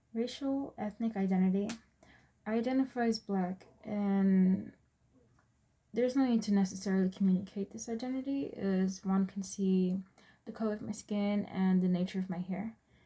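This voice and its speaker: A woman speaks at a moderate pace in a medium pitch, somewhat breathy. Her tone is dark and mellow, with fairly even intonation. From Texas, born in US Virgin Islands. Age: 20s. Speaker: student. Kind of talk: class presentation.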